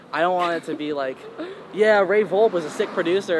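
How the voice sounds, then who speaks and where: Speaking with an American accent, a man is heard against noticeable background noise. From New York and North Carolina. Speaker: music producer and DJ. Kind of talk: casual interview.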